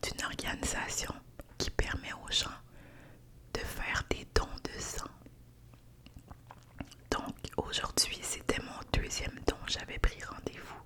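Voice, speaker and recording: Someone whispers in a relaxed tone at a very slow pace, with long, frequent pauses and noticeable background noise. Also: woman. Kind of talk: ASMR whispered ramble to camera. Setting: studio with fluffy windscreen mic. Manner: soft, whispered, relaxed.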